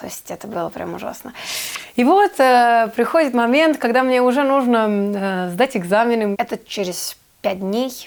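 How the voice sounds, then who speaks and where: A woman speaks slowly at a fairly high pitch with lively intonation. Her loudness swings widely. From Serbia. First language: Serbian (speaking Russian). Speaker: actress. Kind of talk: interview storytelling. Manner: hesitant, many fillers.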